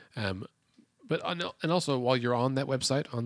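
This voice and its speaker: A man's mumbling at a fairly quick pace with an American accent, ordinary pitch variation and a dry, close sound with no echo. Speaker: podcast co-host, nonprofit civic organizer. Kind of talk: casual political chat. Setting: studio. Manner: hesitant, many fillers.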